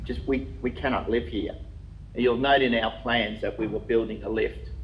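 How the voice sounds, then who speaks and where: The speaker has an Australian accent, and the recording carries audible room echo. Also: man. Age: 60s. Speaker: applicant addressing a council planning committee. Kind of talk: public submission at a council meeting. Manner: halting.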